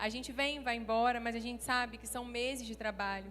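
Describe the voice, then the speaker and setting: With a Rio de Janeiro accent, a woman speaks at a moderate pace and fairly high pitch in a monotone, flat intonation, with audible room echo around her. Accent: carioca. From Rio de Janeiro, Brazil. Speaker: pastor. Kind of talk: sermon. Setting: church stage with audience.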